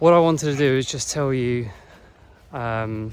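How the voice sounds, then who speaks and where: Speaking at a fairly slow pace, a man uses an English accent and a medium pitch. His intonation stays fairly even. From England. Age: 40s. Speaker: online business vlogger. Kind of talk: casual talk to camera. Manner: hesitant, with fillers.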